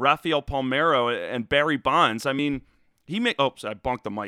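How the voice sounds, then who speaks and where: A man with an American accent, very fast and fairly high-pitched, with ordinary pitch variation. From South Jersey, Philadelphia area. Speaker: sports podcast host. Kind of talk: casual solo monologue. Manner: halting, many fillers.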